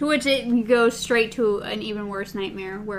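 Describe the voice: The voice is plain reading aloud. It is read straight through.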